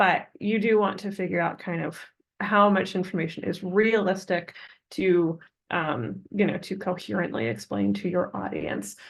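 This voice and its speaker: A medium-pitched woman speaks with vocal fry and ordinary pitch variation. The background is quiet. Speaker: assistant professor. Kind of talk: webinar presentation. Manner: fast.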